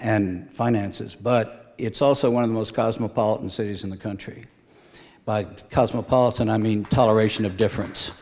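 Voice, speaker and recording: With an American accent, a man talks in a plain, everyday voice at a fairly quick pace, his fairly low pitch kept in fairly even intonation. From Galveston, Texas. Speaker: island resident, civic figure. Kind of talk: radio interview.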